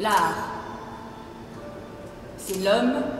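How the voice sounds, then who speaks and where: A woman talks in a fairly high voice. Music plays in the background. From Belgium. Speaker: actress. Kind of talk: literary reading of letters. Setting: live reading in a museum.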